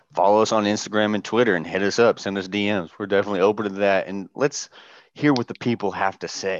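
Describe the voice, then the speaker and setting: A man's fairly low voice at a very fast pace, with fairly even intonation, a quiet background and a dry, close sound with no echo. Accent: American. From Southern Indiana, US. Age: 20s. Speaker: podcast co-host, navy sailor. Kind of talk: casual chat.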